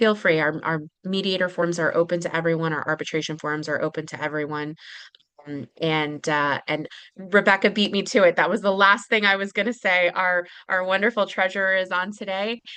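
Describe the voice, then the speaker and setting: A woman of medium pitch speaks in a bright, sharp tone with ordinary pitch variation. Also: fairly quick pace. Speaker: webinar moderator. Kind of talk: closing announcements. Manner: fast.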